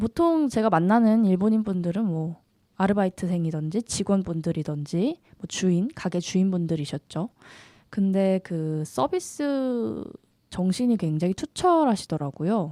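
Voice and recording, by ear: Fairly slow, lively intonation from a woman with a dark, mellow tone, in a very clean recording with a silent background. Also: medium pitch for a woman, dry, close sound with no echo.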